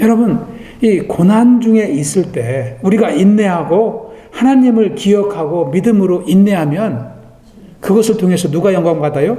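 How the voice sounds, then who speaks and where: Amid noticeable background noise and audible room echo, a man with a high pitch speaks fairly slowly with lively intonation. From Korea. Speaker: pastor. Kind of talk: sermon.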